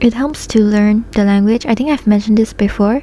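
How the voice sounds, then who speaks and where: Over noticeable background noise, a woman with a non-native accent talks with fairly even intonation. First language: not Japanese. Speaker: vtuber streamer. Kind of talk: casual chat. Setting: live stream. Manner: halting.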